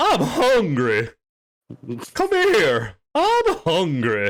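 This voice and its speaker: A man puts on a character voice and speaks very slowly. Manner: hungry, menacing, silly voice.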